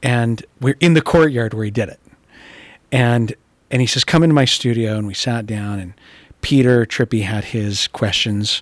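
A man with an American accent, medium pitch and an unremarkable speaking voice, at a moderate pace with ordinary pitch variation, in a dry sound with no echo over a quiet background. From Utah. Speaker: art dealer and art historian; guest. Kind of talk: casual chat. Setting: art gallery. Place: hall. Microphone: studio mic.

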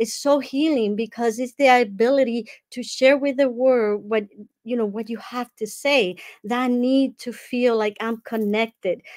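The speaker has a Dominican accent and a fairly slow pace. Behind the voice, the background is quiet. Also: woman, high pitch for a woman, fairly even intonation. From Dominican Republic. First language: Spanish. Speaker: life coach and summit speaker; speaker, coach, guest. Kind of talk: online summit talk. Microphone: earbuds.

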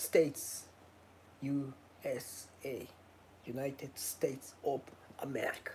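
Slow and marked by long, frequent pauses, a man talks at a medium pitch with fairly even intonation and a slightly mellow tone.

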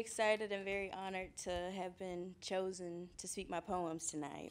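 A woman speaking at a fairly slow pace. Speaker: poet and literary journal founder; poet. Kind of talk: poetry reading. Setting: live audience in a room. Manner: rhythmic, spoken-word-like, emotionally direct. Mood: excited, honored, warm. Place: hall. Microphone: podium.

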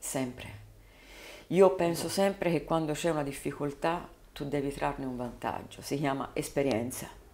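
A woman speaks with a very deep, low pitch and a dark, mellow tone. Her pauses are long and frequent. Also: ordinary pitch variation, moderate pace. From Tuscany, Prato area (Carmignanello); Tuscany. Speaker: politician, mayoral candidate; politician, candidate. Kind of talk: interview. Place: studio. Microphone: studio mic.

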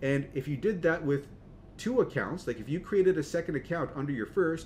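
A man with a fairly high pitch speaks at a fairly quick pace with lively intonation. His voice carries vocal fry. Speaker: online marketing youtuber. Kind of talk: tutorial. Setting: screen recording.

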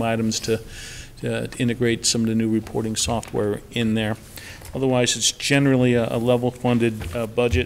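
Over light background noise, a man speaks at a moderate pace. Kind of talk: meeting budget presentation. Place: meeting room. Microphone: podium.

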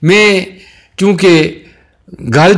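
The man speaks in a high pitch. Audible room echo surrounds his voice. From Pakistan, Tanawal area near Mansehra. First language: Hindko (speaking Hindi). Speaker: local religious speaker. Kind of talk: testimony.

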